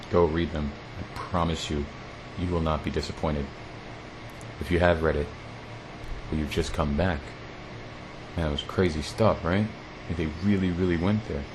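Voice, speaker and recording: With an American accent and a very deep, low pitch, a man speaks at a moderate pace in fairly even intonation, leaving long, frequent pauses. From United States. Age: 30s. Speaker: podcast host. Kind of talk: solo podcast monologue.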